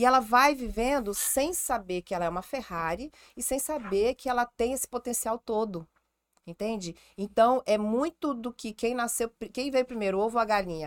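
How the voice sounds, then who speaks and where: Animated in tone, a woman speaks at a moderate pace with ordinary pitch variation, recorded very cleanly against silence with a dry, close sound and no echo. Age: 40s. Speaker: gynecologist. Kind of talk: casual chat.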